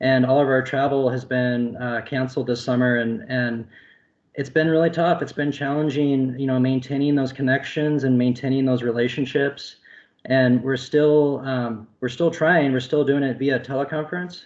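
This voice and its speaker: A normal speaking voice from a man, medium in pitch, at a moderate pace and with fairly even intonation. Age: 30s. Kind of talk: panel discussion.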